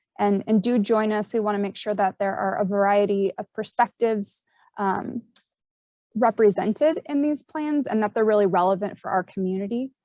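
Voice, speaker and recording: The voice has a dark, mellow tone and ordinary pitch variation, heard with a dry, close sound and no echo. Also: woman. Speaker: county emergency services presenter. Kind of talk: presentation in online meeting. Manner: fast.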